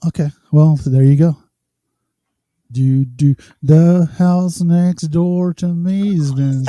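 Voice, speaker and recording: A man speaks very slowly, with long, frequent pauses and a fairly high pitch. His tone is dark and mellow, his intonation fairly even, and the sound dry and close with no echo. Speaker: podcast co-host.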